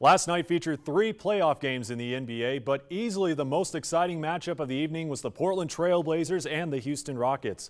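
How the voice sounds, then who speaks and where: A man's ordinary speaking voice, fairly high and fairly quick, with ordinary pitch variation and hardly any pauses, on a very clean recording with a silent background. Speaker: sports broadcaster. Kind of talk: sports news report.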